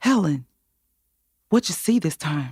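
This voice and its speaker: A woman puts on a character voice that is breathy and shaky at a fairly low pitch, recorded with a dry, close sound and no echo. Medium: audio drama.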